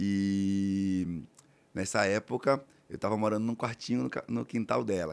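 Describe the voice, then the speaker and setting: Using ordinary pitch variation, a man with a fairly low voice speaks in a northeastern Brazilian accent. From Alagoas, Brazilian Northeast. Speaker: real estate entrepreneur. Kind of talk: podcast interview.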